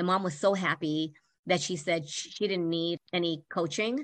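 Over a quiet background, a woman speaks in a plain, everyday voice with fairly low pitch. Her intonation is fairly even, and the sound is dry and close with no echo. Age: 50s. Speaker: life coach. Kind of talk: interview.

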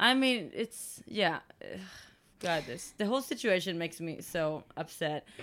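On a very clean recording with a silent background, a woman speaks at a fairly slow pace with a fairly low pitch, very wide pitch swings and big swings in loudness. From Sweden. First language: Swedish. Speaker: dog rescue co-founder, podcast co-host. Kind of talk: casual chat.

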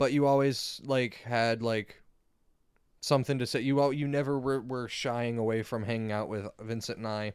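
On a very clean recording with a silent background, a man speaks at a moderate pace in a plain, everyday voice of medium pitch with fairly even intonation. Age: 20s. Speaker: podcast co-host. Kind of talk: casual chat.

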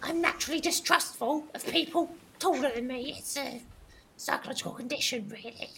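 In a high-pitched, put-on character voice, the speaker talks at a fairly quick pace.

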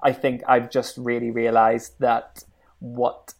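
A man speaks with a Northern Irish accent at a moderate pace. His pitch is medium and his intonation is monotone and flat. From Northern Ireland. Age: 20s. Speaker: radio presenter. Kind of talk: interview.

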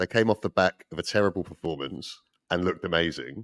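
Very fast and fairly low-pitched, a man speaks in a dry, close sound with no echo on a very clean recording with a silent background. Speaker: football podcast panelist. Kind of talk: casual chat.

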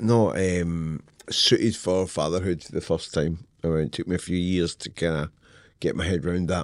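A man's very deep, low voice in a Scottish accent at a moderate pace against a quiet background. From Scotland. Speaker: novelist. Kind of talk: casual interview chat. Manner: animated, profane.

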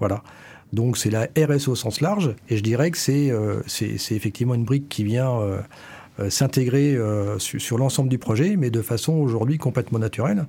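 A man's somewhat breathy, dark and mellow voice at medium pitch, moderate pace and ordinary pitch variation. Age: 50s. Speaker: company director. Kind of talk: interview. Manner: halting.

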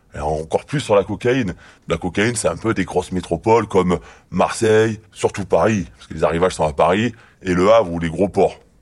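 Speaking at a fairly quick pace, a man uses a very deep, low pitch with big swings in loudness. The recording is very clean, the background silent. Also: ordinary pitch variation. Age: 30s. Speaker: former drug squad police officer. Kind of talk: testimony. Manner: halting.

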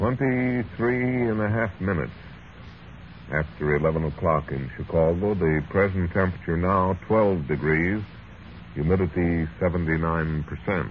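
A man speaks with a very deep, low pitch and lively intonation. His pace is fairly slow. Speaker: radio announcer host. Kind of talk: old-time radio announcing, dramatic intro and sign-off. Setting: live radio broadcast. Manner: formal, polished, announcer cadence.

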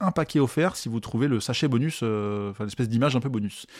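In an ordinary speaking voice, a man talks on a very clean recording with a silent background. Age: 30s. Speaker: podcast host. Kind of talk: casual monologue. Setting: live stream recording.

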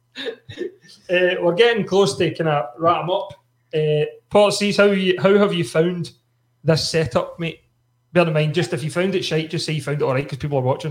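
A man with a Glasgow accent speaks at a moderate pace in a high pitch, with ordinary pitch variation. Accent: Scottish (Glasgow). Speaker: podcast host. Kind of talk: casual chat. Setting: studio.

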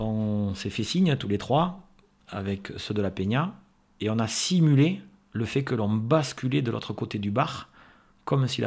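On a very clean recording with a silent background, a man uses an ordinary speaking voice at medium pitch. His pace is fairly slow and his intonation lively. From Landes, southwest France. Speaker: lifelong friend, festival-goer. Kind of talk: interview storytelling.

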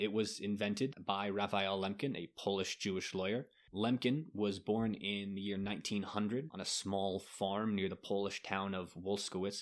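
On a very clean recording with a silent background, a man with an unremarkable speaking voice and a fairly low pitch talks at a moderate pace with hardly any pauses. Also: fairly even intonation. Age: 30s. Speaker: podcast host on genocide history. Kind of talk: casual educational chat.

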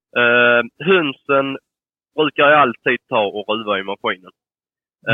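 A man with a medium pitch and an unremarkable speaking voice. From southern Sweden, Skåne. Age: 20s. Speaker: poultry breeder. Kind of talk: interview answers.

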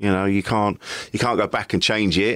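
In a very clean recording with a silent background, a man with a British accent talks very fast at a fairly low pitch. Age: 40s. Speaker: comedian and podcaster. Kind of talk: casual interview.

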